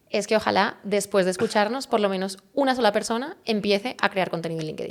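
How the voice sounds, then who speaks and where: A woman with a medium pitch speaks at a very fast pace with a Spanish accent. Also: ordinary pitch variation. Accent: Spanish (Spain). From Spain, Valencia. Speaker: personal branding expert. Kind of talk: interview.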